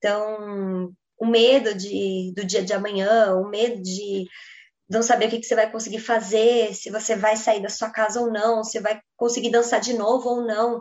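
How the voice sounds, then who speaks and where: Here a woman speaks at a fairly slow pace. Her intonation is monotone and flat. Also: fairly high pitch for a woman. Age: 20s. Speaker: ballet dancer and journalist. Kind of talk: interview.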